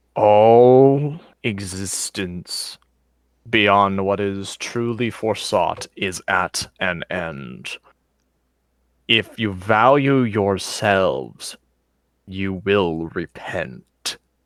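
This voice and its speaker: Put-on character voice from a man, fairly low in pitch, very slow yet lively in intonation, dry and close with no echo, on a very clean recording with a silent background. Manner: ominous.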